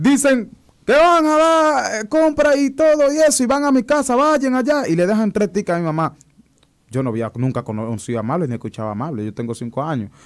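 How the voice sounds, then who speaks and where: With a quiet background, a man talks at a fairly quick pace. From Dominican Republic, Higüey (La Altagracia); Dominican Republic. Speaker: viral internet personality and political fan; interview guest. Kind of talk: casual interview. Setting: radio and TV studio. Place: studio. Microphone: studio mic.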